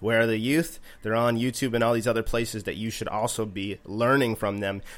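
With a Canadian accent and an unremarkable speaking voice, a man speaks at medium pitch and a fairly quick pace in a very clean recording with a silent background. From East Coast of Canada. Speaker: music producer and composer. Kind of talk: casual interview.

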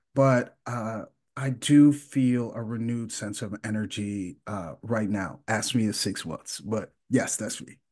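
Here a man uses an ordinary speaking voice at medium pitch with ordinary pitch variation, fairly slow and with hardly any pauses. His loudness swings widely against a quiet background. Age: 40s. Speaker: podcast co-host. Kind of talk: casual chat.

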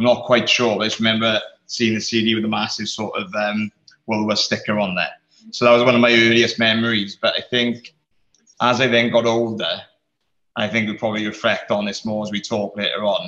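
In a South Wales Valleys accent, a man talks at a fairly quick pace with a medium pitch, a bright, sharp tone and monotone, flat intonation. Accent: South Wales Valleys Welsh English. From South Wales Valleys, Rhondda/Aberdare. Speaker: creative industry worker, band fan. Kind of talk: casual chat.

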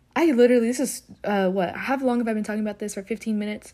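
The speaker has an American accent. The tone is dark and mellow. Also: woman. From US South (Alabama), Ethiopian parents. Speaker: solo podcaster. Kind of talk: casual monologue. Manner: fast, rambling talker; animated, expressive.

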